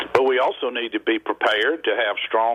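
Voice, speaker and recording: A man with a Southern US accent talks at a fairly quick pace amid noticeable background noise. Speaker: state governor. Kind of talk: interview answer.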